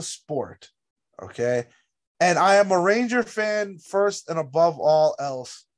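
This animated voice moves at a fairly slow pace, with very wide swings in pitch. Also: man. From New Jersey. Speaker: hockey podcast co-host. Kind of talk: casual chat. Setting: video call.

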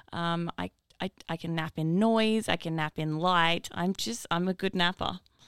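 In an Australian accent, a woman speaks at a fairly slow pace with a fairly low pitch. The sound is dry and close, with no echo. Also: ordinary pitch variation, very clean recording, silent background. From New South Wales, Northern Rivers. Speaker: musician. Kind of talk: casual chat.

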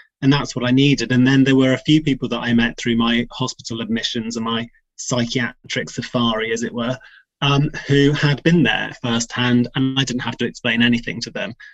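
A man speaks at a fairly quick pace with medium pitch and fairly even intonation, music playing in the background. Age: 40s. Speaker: former equestrian athlete and mental health blogger. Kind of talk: personal testimony in interview.

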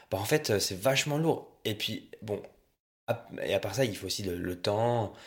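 A man speaks at a fairly slow pace with long, frequent pauses, his pitch fairly low and ordinary in its variation. The voice is somewhat breathy, and the recording is very clean with a silent background. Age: 20s. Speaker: student guest. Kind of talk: casual chat.

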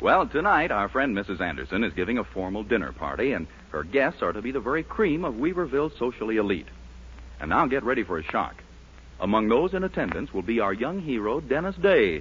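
A man with vocal fry speaks at a medium pitch and a fairly quick pace, his upbeat tone marked by very wide pitch swings. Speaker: radio announcer. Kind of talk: announcer reading commercials and introductions, polished and salesy. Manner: smooth, upbeat, brisk and formal.

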